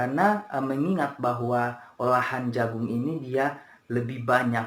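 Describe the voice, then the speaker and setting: Very slow speech from a man, pitched in the medium range. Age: 20s. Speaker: university student. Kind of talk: class presentation. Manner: hesitant, many fillers.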